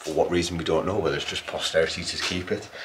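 Over light background noise, a man speaks at a fairly quick pace in a monotone, flat intonation. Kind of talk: casual vlog tour. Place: tunnel cave.

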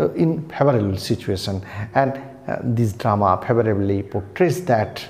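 The pace here is fairly slow. The speaker is a man. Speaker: literature teacher. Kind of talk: lecture. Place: home room.

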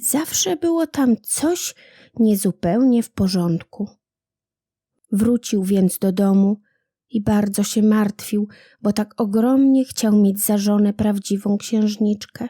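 A woman with a medium pitch speaks very slowly in a warm, dark, mellow, somewhat breathy tone with ordinary pitch variation, recorded dry and close with no echo on a very clean, silent background. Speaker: audiobook narrator. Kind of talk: bedtime story reading of a fairy tale, gentle storyteller's narration. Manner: soft, warm and unhurried, with storyteller's intonation.

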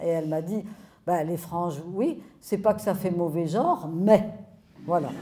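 A woman speaks in a dark, mellow tone. Her pace is moderate and her pitch varies in an ordinary way. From France. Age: 70s. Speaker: sociologist; speaker. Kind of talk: public talk. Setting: stage with audience. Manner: animated. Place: hall. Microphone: handheld.

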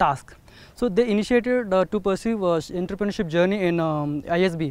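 In a dry recording with no echo, a man with a Telugu accent talks in a high voice. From India, Telugu-speaking rural area. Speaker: alumnus and startup founder. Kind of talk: testimonial. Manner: hesitant, many fillers. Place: open country.

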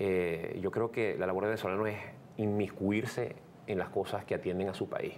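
Over light background noise, a man speaks at a moderate pace with a fairly low pitch. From Venezuela. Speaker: radio host and comedian. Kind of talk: interview answer. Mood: earnest, serious. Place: studio.

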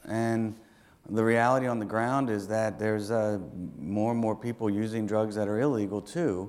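In a normal speaking voice, a man talks at a moderate pace with a fairly low pitch, very even loudness and fairly even intonation. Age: 40s. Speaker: city council member. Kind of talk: speech. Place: hall. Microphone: lapel.

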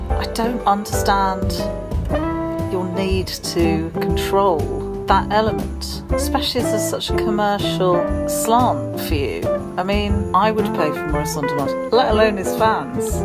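A woman with a British accent at a fairly slow pace, loud music playing in the background. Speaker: vlogger. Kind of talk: casual talk to camera. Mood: wry, mildly pleading. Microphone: phone near.

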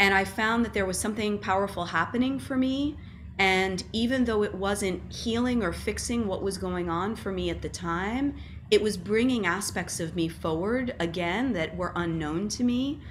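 Vocal fry in a woman's voice over light background noise. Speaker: guest. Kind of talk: interview answer. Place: home room. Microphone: webcam.

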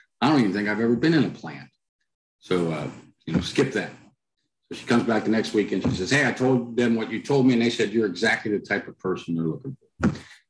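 Lively intonation runs through this man's speech, delivered in an American accent. His pace is very fast. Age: middle-aged. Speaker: author and culture consultant; podcast guest. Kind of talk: interview. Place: home room. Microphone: headset.

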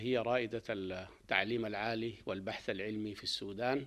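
A normal speaking voice, a man at medium pitch with fairly even intonation. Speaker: university official. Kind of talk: formal spoken address or interview statement.

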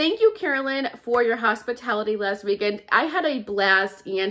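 A woman speaks at a fairly quick pace over a quiet background, her pitch swinging very widely. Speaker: shopping vlogger. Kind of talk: casual vlog chat. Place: home room. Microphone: phone near.

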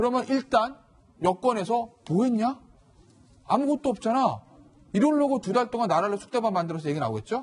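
A man speaks at a fairly quick pace in an extremely high voice, his intonation lively. He leaves long, frequent pauses. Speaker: lawyer, news panelist. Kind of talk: TV news panel discussion. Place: studio. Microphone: lapel.

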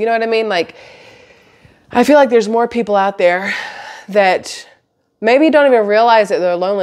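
Against a quiet background, a woman speaks. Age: 40s. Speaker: vlogger. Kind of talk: casual monologue to camera. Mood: reflective, candid. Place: home room. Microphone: phone near.

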